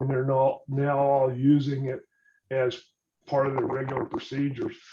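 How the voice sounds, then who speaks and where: With an American accent, a man speaks at a fairly high pitch and a moderate pace in a somewhat breathy, dark, mellow tone. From US South. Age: 70s. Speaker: retired engineer and philanthropist. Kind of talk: interview talk to students.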